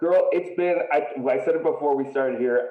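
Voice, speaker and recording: This is a man speaking. His pace is moderate. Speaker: podcast host. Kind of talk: casual podcast interview. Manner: hesitant, filler-heavy.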